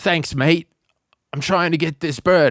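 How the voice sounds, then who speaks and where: Putting on a character voice with an Australian accent, a man speaks high and raspy at a fairly slow pace, his intonation fairly even, in a dry, close sound with no echo. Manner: casual, friendly.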